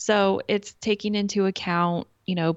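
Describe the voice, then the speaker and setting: A woman speaks in an American accent with ordinary pitch variation. It is a plain, everyday voice. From Kansas. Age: 40s. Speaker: interior designer. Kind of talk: interview.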